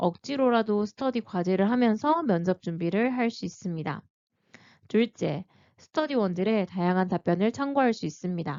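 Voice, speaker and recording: With an unremarkable speaking voice, a woman at medium pitch talks at a moderate pace with lively intonation. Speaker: teacher-librarian and exam-prep youtuber. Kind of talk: tutorial.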